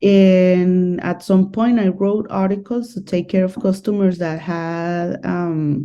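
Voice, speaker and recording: With a Spanish accent, a woman at medium pitch speaks at a very slow pace with hardly any pauses, her dark, mellow tone set in fairly even intonation. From Colombia, Medellin. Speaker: guest on dating channel. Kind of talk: casual interview.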